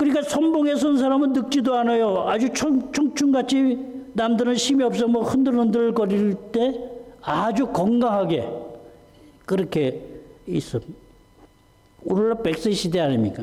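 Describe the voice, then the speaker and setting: A man speaks at an extremely high pitch with ordinary pitch variation, very even loudness, and long, frequent pauses. Noticeable background noise and audible room echo fill the recording. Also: fairly slow pace. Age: 60s. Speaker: visiting pastor. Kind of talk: sermon.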